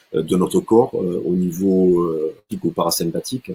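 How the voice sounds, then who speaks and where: A man talks in a very deep, low pitch. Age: 60s. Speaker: martial arts instructor and sports coach. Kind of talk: online talk with slideshow. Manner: halting, many fillers and repetitions.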